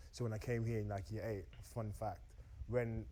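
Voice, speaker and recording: Somewhat breathy and dark, mellow in tone, a man speaks very fast at a fairly low pitch with ordinary pitch variation. Audible room echo surrounds his voice. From Austria, moved to UK at 14. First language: German. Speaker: dating show contestant. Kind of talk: casual chat.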